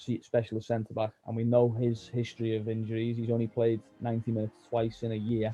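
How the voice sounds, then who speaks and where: Over music in the background, a man with a Scouse accent talks at a fairly quick pace in a medium pitch with monotone, flat intonation. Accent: Scouse (Liverpool English). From Liverpool, England. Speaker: football journalist. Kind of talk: podcast interview answer.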